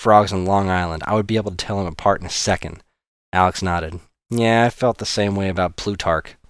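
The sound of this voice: Quiet surroundings and an unforced reading voice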